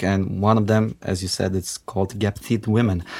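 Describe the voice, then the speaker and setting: The speaker has a Macedonian accent and fairly even intonation. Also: man. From North Macedonia. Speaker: indie rock musician. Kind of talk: radio interview. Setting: studio.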